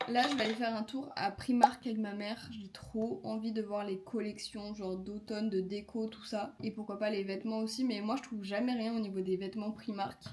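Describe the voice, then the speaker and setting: Noticeable background noise sits behind a woman with a fairly high voice. She keeps a moderate pace with hardly any pauses. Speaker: vlogger and makeup artist. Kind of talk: casual vlog. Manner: animated.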